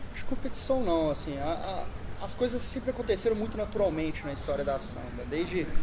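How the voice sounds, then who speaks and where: Male speech with ordinary pitch variation, set against noticeable background noise and audible room echo. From Minas Gerais, Brazil (Barbacena). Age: 20s. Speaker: tech entrepreneur. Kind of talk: interview.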